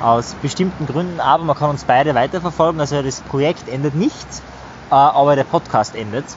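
Fairly quick speech from a man, set against noticeable background noise. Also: fairly high pitch for a man, ordinary pitch variation. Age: 20s. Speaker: psychology coach and public speaker. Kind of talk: casual chat. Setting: outdoors by a river.

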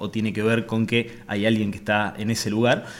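The voice belongs to a man. It is pitched in the middle range. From Argentina, Avellaneda, Santa Fe. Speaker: real estate entrepreneur. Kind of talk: interview conversation. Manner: halting, with many fillers.

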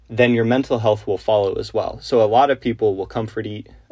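In an American accent, the voice comes across as somewhat breathy. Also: man. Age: 20s. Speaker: podcast host, college student. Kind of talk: solo monologue podcast. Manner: casual, with many fillers.

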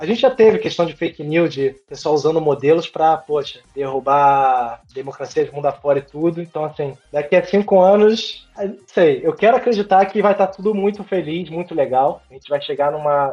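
At a moderate pace and with hardly any pauses, a man speaks in a high voice with lively intonation. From Brazil, Rio de Janeiro (Niterói). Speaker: data scientist and novelist. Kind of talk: interview.

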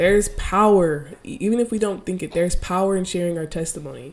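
At a fairly quick pace, a woman talks with a dark, mellow tone and ordinary pitch variation. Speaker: faith podcast host. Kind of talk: devotional monologue. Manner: casual.

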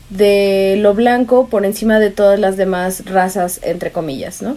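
A woman talks in a fairly high pitch. Her pitch varies in an ordinary way. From Mexico, Veracruz. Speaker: student researcher on racism. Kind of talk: casual chat.

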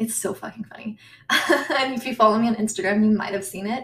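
Speaking fast with an American accent, a woman keeps her voice at a medium pitch. Her pitch varies in an ordinary way.

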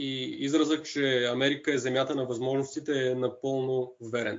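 The pace is fairly slow. A man talks at a fairly high pitch. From Bulgaria, Shumen. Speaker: designer and street artist. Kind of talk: interview.

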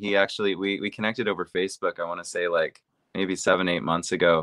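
With an American accent, a man speaks in a fairly low pitch using monotone, flat intonation. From US, Seattle, Washington. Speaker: AI platform director. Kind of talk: interview.

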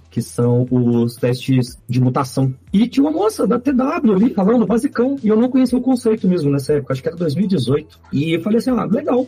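Pitched high with very wide swings, a man speaks at a fairly quick pace with hardly any pauses and very even loudness. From Minas Gerais, Brazil (Belo Horizonte). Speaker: software architect. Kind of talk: casual chat.

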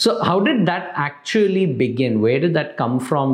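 A man speaks at a fairly high pitch with a somewhat breathy quality. His pace is moderate and his pitch varies in an ordinary way. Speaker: podcast host. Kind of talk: interview conversation.

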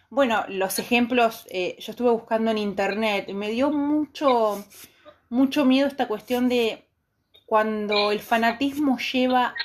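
Here a woman speaks at a fairly slow pace in a high pitch. Her pitch variation is ordinary. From Argentina. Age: 50s. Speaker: podcast host. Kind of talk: casual chat. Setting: live stream.

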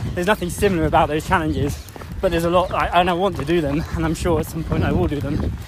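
Noticeable background noise runs beneath a man speaking at a very fast pace. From England. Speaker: amateur endurance runner and charity fundraiser. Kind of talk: casual interview while jogging. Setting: outdoors in a park. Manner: hesitant, many fillers.

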